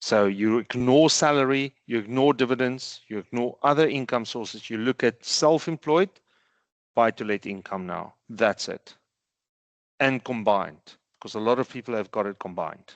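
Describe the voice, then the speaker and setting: A man with an ordinary speaking voice, medium pitch and ordinary pitch variation, moderate pace, big swings in loudness, quiet background. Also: dry, close sound with no echo. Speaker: tax accountant presenting a webinar. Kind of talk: webinar presentation with Q&A. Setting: online webinar.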